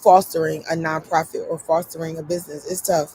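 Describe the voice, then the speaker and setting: Through noticeable background noise, a woman with an American accent speaks at a moderate pace. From Philadelphia, US. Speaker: YouTuber and nonprofit founder. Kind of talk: casual vlog talk. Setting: live stream. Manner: filler-heavy, conversational.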